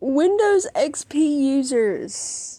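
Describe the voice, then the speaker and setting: Her tone is dark and mellow, with a Southern US accent. The woman's intonation is lively. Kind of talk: casual talk to camera. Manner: talkative.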